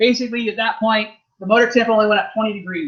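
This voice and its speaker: A man speaks in a raised, projected voice with a high pitch. His pace is very fast. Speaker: RC racing team manager giving a clinic. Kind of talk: workshop clinic. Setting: race track with live audience.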